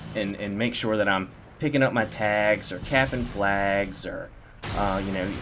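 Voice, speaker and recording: A man with a Southern US accent speaks at a fairly slow pace in a fairly low pitch, with ordinary pitch variation. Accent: country-sounding Southern. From Virginia, Norfolk/Virginia Beach area. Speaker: gaming commentator. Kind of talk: gameplay commentary. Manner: halting, many fillers and repeats.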